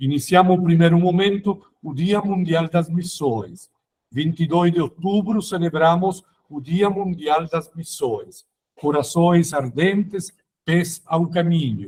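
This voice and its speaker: A man with a non-native accent speaks very slowly in a high pitch, with ordinary pitch variation. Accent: foreign accent in Portuguese. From Italy, near Rome, raised in Germany. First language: Italian (speaking Portuguese). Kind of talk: formation talk. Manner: halting.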